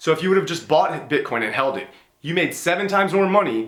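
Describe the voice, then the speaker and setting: Audible room echo surrounds the speaker. He is a man with lively intonation. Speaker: business YouTuber and entrepreneur. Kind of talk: casual monologue video on business advice. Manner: conversational, uses fillers like you know and right.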